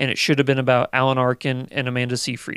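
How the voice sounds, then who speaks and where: A man with a medium pitch talks at a very fast pace. The recording is very clean, with a silent background. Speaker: guest movie podcaster. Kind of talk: casual chat.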